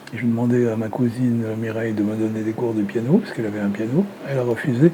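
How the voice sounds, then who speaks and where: Here a man speaks at a fairly quick pace with medium pitch. Noticeable background noise is present. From Lebanon (Beirut). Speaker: retired filmmaker. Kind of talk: interview.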